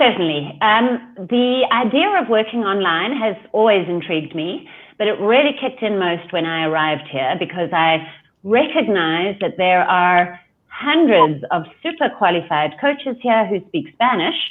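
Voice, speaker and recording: In a South African accent, a woman speaks at a moderate pace with very wide pitch swings. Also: medium pitch for a woman. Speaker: life coach. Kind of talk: interview.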